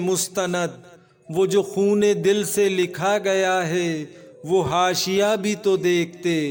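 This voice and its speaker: Noticeable background noise runs under this man's voice. He speaks at a high pitch with a monotone, flat intonation. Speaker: voice-over artist. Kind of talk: poetry reading.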